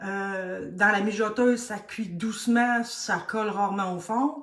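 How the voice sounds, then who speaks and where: A woman with a Quebec accent, a medium pitch and ordinary pitch variation. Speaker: cooking instructor. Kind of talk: live tutorial. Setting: live stream.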